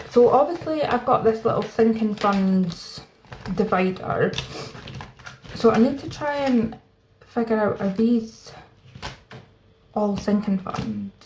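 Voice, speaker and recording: A woman's fairly high voice in a Scottish accent, at a very slow pace, with ordinary pitch variation and long, frequent pauses. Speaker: budgeting YouTuber. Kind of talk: casual chat. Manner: soft-spoken.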